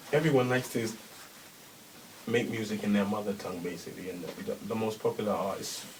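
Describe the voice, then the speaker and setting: A fairly low-pitched man at a very fast pace, ordinary pitch variation and noticeable background noise. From England, London. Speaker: rapper. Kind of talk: radio interview.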